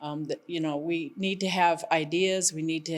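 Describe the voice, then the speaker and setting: A woman with a fairly low pitch speaks at a fairly slow pace. Her intonation stays fairly even. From Fort Hall Reservation, Idaho. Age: 60s. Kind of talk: campaign statement. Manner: halting, with fillers and restarts.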